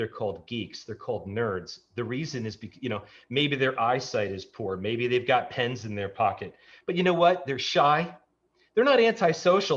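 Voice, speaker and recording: Against a quiet background, a man with an American accent speaks at a moderate pace in a somewhat breathy, medium-pitched voice with very wide pitch swings. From New York. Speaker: tech entrepreneur. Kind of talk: casual interview chat.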